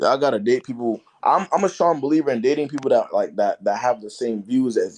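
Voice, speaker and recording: The speaker's loudness swings widely while the intonation stays lively and the pace runs fairly quick. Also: man, fairly high pitch for a man. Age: 20s. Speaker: live streamer giving dating advice. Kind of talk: casual live stream chat with callers.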